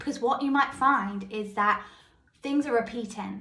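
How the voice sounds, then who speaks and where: A fairly high female voice with some room echo, at a middling speed. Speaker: mindset coach podcaster. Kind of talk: podcast monologue. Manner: casual, conversational.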